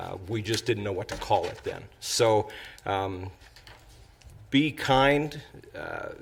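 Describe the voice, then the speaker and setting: This man speaks at a very slow pace and a medium pitch, somewhat breathy, with ordinary pitch variation. His loudness swings widely, and he leaves long, frequent pauses. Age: 60s. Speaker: city council member. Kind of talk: council meeting remarks. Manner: halting.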